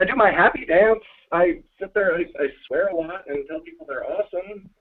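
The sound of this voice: With lively intonation, a man speaks at a high pitch and a fairly quick pace, his voice showing vocal fry and a slightly husky edge.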